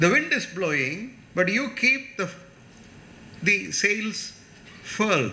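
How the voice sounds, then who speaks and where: A man in a Tamil accent raises and projects his voice with very wide pitch swings, and audible room echo surrounds him. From India, Tamil Nadu. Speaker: chief guest speaker. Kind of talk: lecture. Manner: animated.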